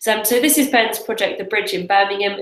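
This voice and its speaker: With a British accent, a woman speaks in a lively intonation. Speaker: webinar host, crowdfunding coach. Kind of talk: live webinar presentation. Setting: live broadcast from office. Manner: hesitant, many fillers.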